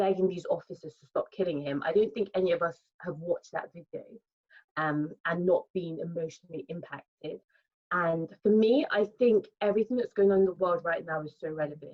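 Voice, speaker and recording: A woman with a British accent talks at a fairly quick pace, her fairly low pitch showing ordinary variation. Her loudness swings widely. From England, born in Nigeria. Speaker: lifestyle content creator. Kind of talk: panel discussion.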